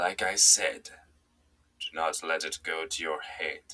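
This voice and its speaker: Put-on character voice from a man, very deep and low in pitch, fairly slow in pace. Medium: read story. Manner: calm, authoritative.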